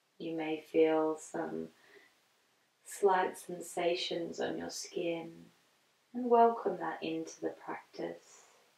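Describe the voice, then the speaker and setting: Here a woman talks at a very slow pace, leaving long, frequent pauses. Her loudness swings widely, and audible room echo fills the recording. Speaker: yoga instructor. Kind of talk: guided moving meditation, gentle spoken yoga cues. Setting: home practice video, on a yoga mat. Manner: slow, soothing and soft-spoken with long pauses; warm, encouraging and non-judgmental, repeating allow and just.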